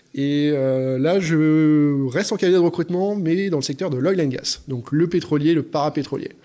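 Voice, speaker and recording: A man's fairly high voice at a moderate pace, with ordinary pitch variation, hardly any pauses, and noticeable background noise. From France, Lyon. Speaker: HR director. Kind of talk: interview.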